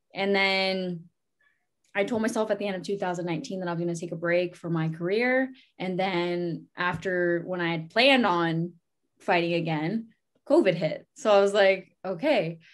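Against a quiet background, a woman with a Canadian accent talks in a normal speaking voice at a medium pitch and a moderate pace, with ordinary pitch variation. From Ontario, Canada (Sarnia, First Nations reserve). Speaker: amateur boxer. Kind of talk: interview.

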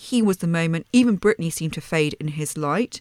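A woman's fairly low-pitched, plain, everyday voice at a fairly quick pace, in a dry, close sound with no echo. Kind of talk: casual chat. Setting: video call.

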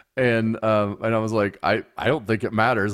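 A man speaks at a fairly quick pace in an ordinary speaking voice, his pitch medium. The recording is very clean, with a silent background. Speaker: father and podcast host. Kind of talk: casual family chat.

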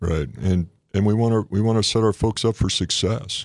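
The pitch varies in an ordinary way. The speaker talks with an American accent. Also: man. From Phoenix, Arizona. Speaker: Navy rear admiral. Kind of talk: casual interview. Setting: studio.

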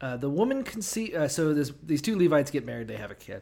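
Lively intonation marks this man's fairly high voice, an unremarkable speaking voice. He keeps a moderate pace in a very clean recording with a silent background. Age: 30s. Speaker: podcast co-host. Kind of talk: casual chat.

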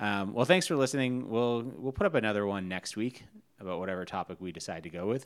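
With an ordinary speaking voice, a man talks at a fairly quick pace, his fairly low pitch showing ordinary variation. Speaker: podcast host. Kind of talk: casual chat between spouses.

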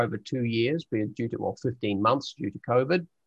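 A man with a New Zealand accent speaks at a fairly quick pace, medium in pitch and with ordinary pitch variation. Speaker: explorer and leadership trainer. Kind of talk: interview.

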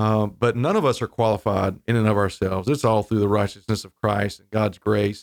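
Captured on a very clean recording with a silent background, a man with a fairly low pitch speaks at a fairly quick pace in an unremarkable speaking voice, his intonation fairly even but with big swings in loudness. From North Carolina coast (Wilmington). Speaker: seminary dean and pastor. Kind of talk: interview.

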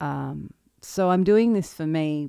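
Recorded very clean with a silent background and a dry, close sound with no echo, a woman speaks in an Australian accent with a dark, mellow tone. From central Victoria, Australia. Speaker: singer-songwriter and podcast host. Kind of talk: solo podcast monologue, personal reflection. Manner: nervous, halting.

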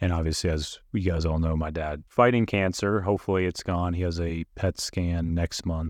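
A man's very deep, low voice at a moderate pace, with fairly even intonation and a quiet background. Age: 30s. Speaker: podcast co-host. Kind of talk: casual chat.

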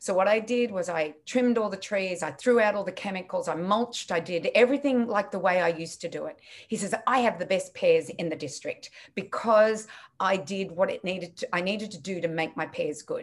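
A woman's medium-pitched voice at a fairly quick pace, with ordinary pitch variation. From Australia. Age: 60s. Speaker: nutritionist and business founder. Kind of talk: interview.

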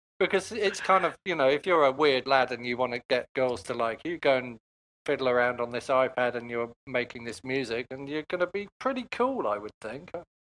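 A man with an unremarkable speaking voice talks at a medium pitch and moderate pace with lively intonation, in a dry, close sound with no echo. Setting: video call.

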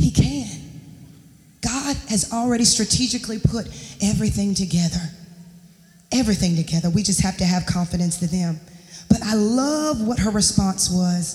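The speech moves at a moderate pace with long, frequent pauses. It is delivered in an American accent. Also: woman, medium pitch for a woman. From US South, Charlotte, North Carolina. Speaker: guest preacher. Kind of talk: sermon. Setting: church.

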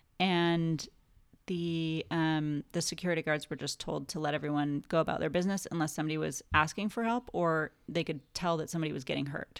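Talking at a fairly quick pace with a Californian accent, a woman with a very deep, low pitch keeps her intonation fairly even in a very clean recording with a silent background. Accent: American (Californian). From California, Santa Barbara. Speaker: film production designer. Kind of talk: casual interview chat.

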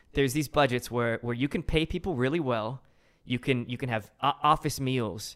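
A man speaks in a normal speaking voice at a medium pitch and moderate pace, with ordinary pitch variation. The recording is very clean, with a silent background. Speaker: film director. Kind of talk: casual interview chat.

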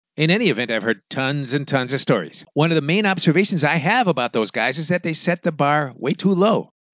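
A man with an American accent uses a normal speaking voice at a fairly high pitch, talking at a fairly quick pace with lively intonation. The sound is dry and close with no echo, and the background is quiet. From United States. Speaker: podcast host advising expats. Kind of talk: casual monologue with reading listener emails.

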